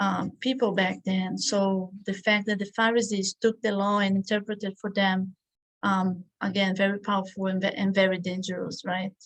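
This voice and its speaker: With a non-native accent, the speaker talks at a moderate pace in a monotone, flat intonation that is somewhat breathy. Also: woman, medium pitch for a woman. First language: not English. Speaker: study group teacher. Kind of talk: lecture. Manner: halting.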